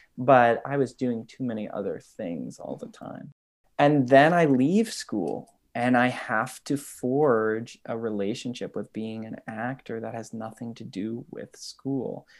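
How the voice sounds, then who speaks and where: Recorded very cleanly against a silent background, a man with an American accent talks at a fairly slow pace with a medium pitch and ordinary pitch variation. He has a plain, everyday voice, with big swings in loudness. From US Midwest, Twin Cities, Minnesota. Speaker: actor. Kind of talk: interview.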